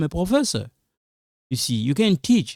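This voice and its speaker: A man speaks with a non-native accent in a dry, close recording with no echo, very clean against a silent background. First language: an African language, not Lingala or French. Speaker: online teacher, YouTuber. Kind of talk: advice talk to camera. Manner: repetitive, emphatic; halting, many fillers.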